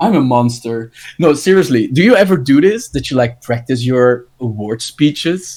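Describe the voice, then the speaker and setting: A man with an ordinary speaking voice talks at a moderate pace, fairly high in pitch, with lively intonation. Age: 20s. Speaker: podcast host, game design student. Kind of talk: casual chat.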